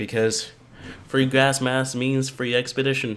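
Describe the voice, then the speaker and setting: A man with an ordinary speaking voice talks at a medium pitch and a fairly slow pace. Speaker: gaming YouTuber. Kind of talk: let's play commentary.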